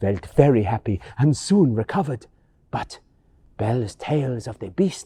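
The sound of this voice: Lively intonation in an unforced reading voice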